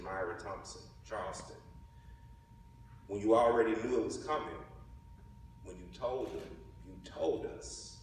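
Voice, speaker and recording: A man speaks at a moderate pace in a Southern US accent, leaving long, frequent pauses. Noticeable noise sits in the background. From Mississippi. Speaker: writer and ethnographer. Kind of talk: spoken word poetry performance.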